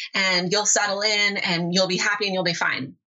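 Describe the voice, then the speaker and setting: A woman with a Californian accent talks at a moderate pace and a medium pitch. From Southern California. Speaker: online business mentor. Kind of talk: interview.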